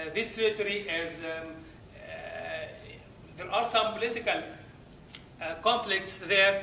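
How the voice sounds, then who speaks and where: In a room with audible echo and noticeable background noise, the speaker's raised, projected voice moves at a fairly slow pace with ordinary pitch variation. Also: man. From Egypt. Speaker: Arabic teacher. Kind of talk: presentation. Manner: halting, many hesitations.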